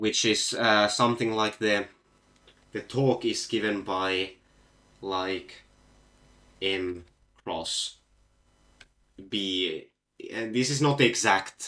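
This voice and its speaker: Fairly low-pitched and with a Finnish accent, a man speaks in a bright, sharp tone with fairly even intonation at a very slow pace, leaving long, frequent pauses. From Finland. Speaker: physics olympiad competitor solving problems. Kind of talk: live problem-solving stream. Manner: halting, many fillers.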